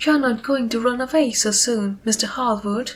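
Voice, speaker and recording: Someone in a shrill, put-on character voice talks at a moderate pace with fairly even intonation. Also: woman, fairly high pitch for a woman. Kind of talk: Victorian society chatter. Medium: read story. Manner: rapid, gushing, scattered.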